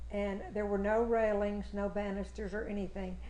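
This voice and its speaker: A woman speaks with a Texan accent at a moderate pace. Her voice carries audible room echo. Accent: Texan Southern. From Texas, Fort Bend County. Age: 80s+. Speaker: local history interviewee. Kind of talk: oral history interview.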